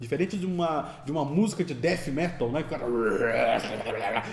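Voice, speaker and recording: With audible room echo and noticeable background noise, a man talks using lively intonation. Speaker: composer and music lecturer. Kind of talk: lecture. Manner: fast.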